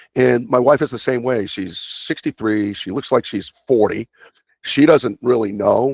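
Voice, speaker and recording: The recording of this man is dry and close-miked, without any echo. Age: 60s. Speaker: fitness and longevity coach. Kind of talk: interview. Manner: animated; hesitant fillers.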